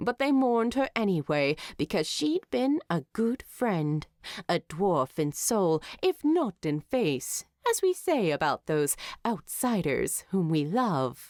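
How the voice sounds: A woman's put-on character voice, fairly low and slightly mellow, slow with big pitch swings, in a dry, close sound with no echo on a very clean recording with a silent background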